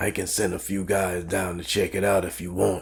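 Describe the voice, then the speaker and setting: Putting on a character voice, a man sounds raspy and very deep, low in pitch. He keeps a moderate pace with monotone, flat intonation. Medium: read story. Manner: deferential to boss.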